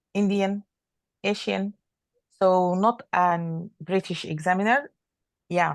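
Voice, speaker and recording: With an Arabic accent, a woman speaks at medium pitch with ordinary pitch variation. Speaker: doctor. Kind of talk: casual chat. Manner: halting.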